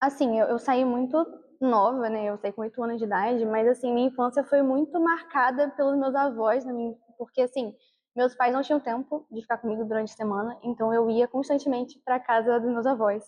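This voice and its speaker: A woman's high-pitched voice moves along at a fairly quick pace, her intonation fairly even. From Brazil, Natal (Rio Grande do Norte) until age 8. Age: 20s. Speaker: university student. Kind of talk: documentary interview.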